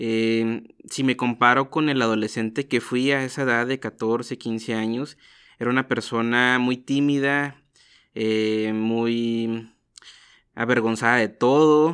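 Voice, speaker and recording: A man's monotone, flat voice at medium pitch, very slow pace, against a quiet background. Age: 20s. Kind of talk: interview conversation.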